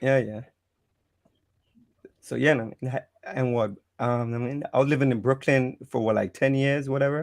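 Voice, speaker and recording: The speaker has a Caribbean accent and a moderate pace. Intonation stays fairly even, broken by long, frequent pauses. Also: man, medium pitch for a man. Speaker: livestream guest. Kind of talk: casual chat. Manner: halting.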